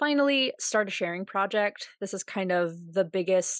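In a plain, everyday voice, a woman talks at a moderate pace and medium pitch with an American accent. The sound is dry and close with no echo, and the background is quiet. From United States. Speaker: podcast host. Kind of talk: solo podcast monologue. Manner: casual, laughs often.

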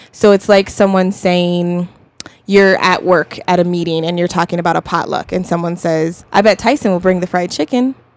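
With an American accent and a plain, everyday voice, a woman speaks at a moderate pace in a fairly low pitch. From US West (Colorado). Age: 20s. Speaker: singer-songwriter. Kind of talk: casual chat. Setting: studio.

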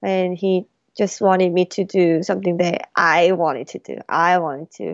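With a Korean accent, a woman speaks at a fairly low pitch. Her pace is moderate and her intonation fairly even. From South Korea, then Colorado from age 14. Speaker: jazz pianist and music student. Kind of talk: casual interview chat. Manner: halting.

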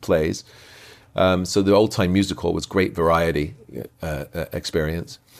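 Speaking with a British accent, a man has a very deep, low pitch and ordinary pitch variation. He keeps a moderate pace with long, frequent pauses. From southern England, Portsmouth family. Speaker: actor and magician. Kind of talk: casual interview. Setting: in person at a convention.

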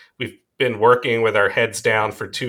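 In a very clean recording with a silent background, a man speaks at a medium pitch and a moderate pace. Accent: slight Long Island. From US Northeast (Long Island, New York). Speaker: pediatric emergency doctor. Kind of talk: casual interview.

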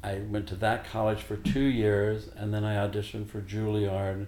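With an American accent and a dark, mellow tone, a man speaks at a fairly slow pace, somewhat breathy, amid audible room echo. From Missouri, Joplin. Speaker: singer. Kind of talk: casual chat.

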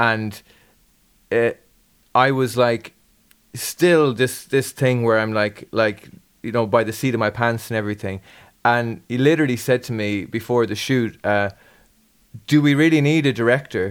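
This man has an Irish accent, a medium pitch and ordinary pitch variation. He talks at a moderate pace with long, frequent pauses, on a very clean recording with a silent background. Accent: Irish (Galway). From Ireland. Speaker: podcast host and musician. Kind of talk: casual interview chat.

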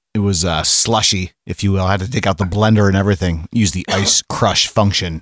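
Hardly pausing, a man with an American accent speaks at a fairly low pitch and fairly even intonation, in a very clean recording with a silent background and a dry, close sound with no echo. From Vermont, US. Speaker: podcast guest, trained radio DJ. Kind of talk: casual chat.

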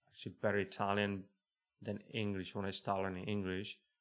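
With monotone, flat intonation, a man speaks at a low pitch.

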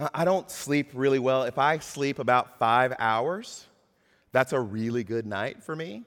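In a normal speaking voice, a man with an American accent and medium pitch speaks at a fairly slow pace with ordinary pitch variation, on a very clean recording with a silent background. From US South. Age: 40s. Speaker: pastor. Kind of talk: sermon.

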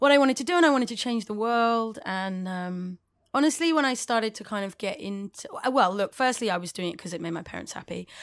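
A woman speaks very fast in a London accent, with hardly any pauses. Her loudness swings widely. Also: fairly high pitch for a woman, lively intonation. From London, England. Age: 30s. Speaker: musician and club night organiser. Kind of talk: casual interview chat. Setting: video call, remote from hosts.

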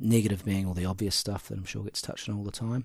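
Very fast, somewhat breathy speech with ordinary pitch variation. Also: man. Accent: New Zealand. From New Zealand, Central Otago. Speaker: hunting outfitter and entrepreneur. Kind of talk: casual interview. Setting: at the guest's house.

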